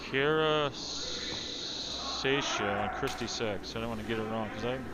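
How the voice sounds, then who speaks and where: In a room with audible echo and music in the background, the speaker uses an American accent, a fairly slow pace and ordinary pitch variation. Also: man, medium pitch for a man. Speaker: curling commentator. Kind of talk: live commentary.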